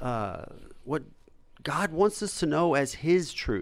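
Lively intonation marks this man's fairly high voice on a very clean recording with a silent background. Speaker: host of a faith-based live show. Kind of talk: casual chat. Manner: fast talker.

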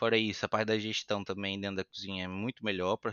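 The man's pitch sits fairly low. He speaks in a flat, monotone way. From Brazil, Itaboraí, Rio de Janeiro state. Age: 30s. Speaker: chef. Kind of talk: casual chat. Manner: talkative.

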